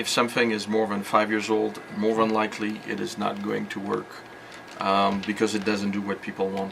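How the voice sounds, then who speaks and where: Through noticeable background noise, a man talks at a fairly quick pace in a fairly low pitch with monotone, flat intonation. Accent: slight French. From France. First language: French. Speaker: computer repair shop owner. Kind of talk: interview. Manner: hesitant with fillers.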